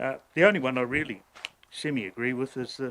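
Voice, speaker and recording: Fairly quick speech from a man with a New Zealand accent, medium pitch and ordinary pitch variation. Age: 60s. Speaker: ratepayer making a submission to council. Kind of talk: public hearing submission. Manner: halting.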